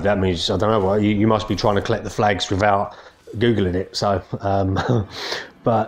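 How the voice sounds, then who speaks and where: With an English accent and noticeable background noise, a man speaks with a fairly low pitch and fairly even intonation. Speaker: gaming youtuber. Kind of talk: casual video game review. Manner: fast; hesitant, many fillers.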